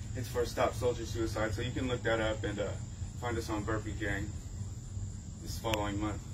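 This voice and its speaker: Over noticeable background noise, a man speaks at a fairly quick pace in a fairly low, monotone, flat voice. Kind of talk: casual vlog chat. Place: garden. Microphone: camera far.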